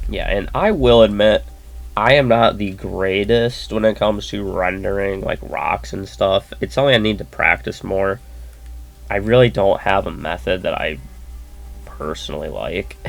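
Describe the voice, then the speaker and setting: A quiet man speaks at a moderate pace in a relaxed tone. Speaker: artist. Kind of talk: tutorial. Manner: quiet, just woke up; casual, relaxed.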